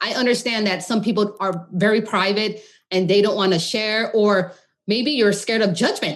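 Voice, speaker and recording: At a fairly high pitch and a moderate pace, a woman speaks in a normal speaking voice. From California, Modesto; Khmer-American family. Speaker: holistic nutritionist. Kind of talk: podcast interview.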